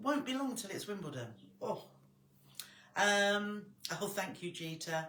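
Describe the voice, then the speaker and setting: With an English accent and a medium pitch, a woman talks at a fairly slow pace with lively intonation, big swings in loudness and long, frequent pauses, all in audible room echo. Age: 60s. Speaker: sewing tutor. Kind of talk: live stream chat. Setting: live stream. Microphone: quiet volume.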